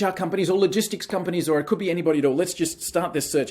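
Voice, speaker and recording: A man speaks with an Australian accent in a high-pitched voice. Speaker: software company team member. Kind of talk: software demo tutorial. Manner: casual, conversational.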